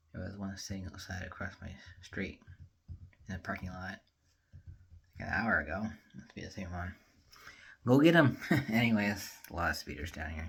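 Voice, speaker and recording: In a very clean recording with a silent background, a man speaks at a very deep, low pitch with ordinary pitch variation, big swings in loudness, and long, frequent pauses. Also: moderate pace. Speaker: vlogger. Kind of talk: casual vlog talk. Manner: low energy.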